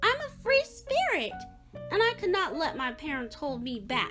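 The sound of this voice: Faint music sits behind a woman doing a put-on character voice, high-pitched and fairly bright in tone, moving at a moderate pace with very wide pitch swings.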